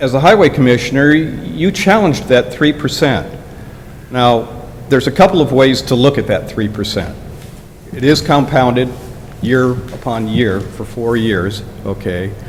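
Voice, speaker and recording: Lively in intonation, a man talks at a moderate pace and medium pitch, with long, frequent pauses. The room echo is audible, and background noise is noticeable. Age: 70s. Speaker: public commenter at township meeting. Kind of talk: public comment at meeting. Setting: township board meeting.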